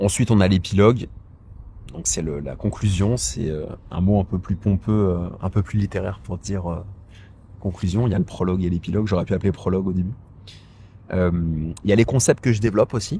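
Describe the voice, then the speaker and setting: Speaking at a fairly quick pace with long, frequent pauses, a man uses a fairly low pitch and a dark, mellow tone that is somewhat breathy, with ordinary pitch variation. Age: 30s. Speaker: author and personal finance YouTuber. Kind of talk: casual vlog monologue. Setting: outdoors in a park. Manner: hesitant, many fillers and repetitions.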